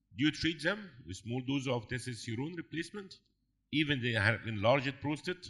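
Speaking fairly quickly, a man uses lively intonation in a quiet setting. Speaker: urologist asking questions from the audience; panel discussant. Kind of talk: audience Q&A. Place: hall.

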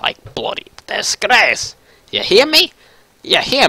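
Putting on a character voice, a man talks fairly slowly at an extremely high pitch. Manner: menacing, angry.

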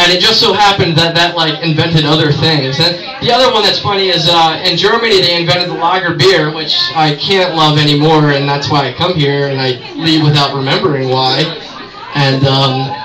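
A man with a high voice talks fairly quickly while noticeable background noise runs behind him. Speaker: stand-up comedian. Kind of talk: raunchy open-mic stand-up set riffing on holidays, TV and local towns. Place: bar. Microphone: camera far.

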